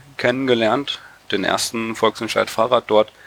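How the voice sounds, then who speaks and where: The man has an unremarkable speaking voice. His pitch is fairly low. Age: 20s. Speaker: cycling activist and engineering student. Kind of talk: casual interview.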